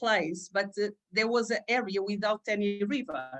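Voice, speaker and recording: A woman speaks in a Portuguese accent. Her pace is fairly slow and her pitch medium. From Portugal. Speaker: aura reader and vision board creator. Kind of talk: interview. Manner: halting, many fillers.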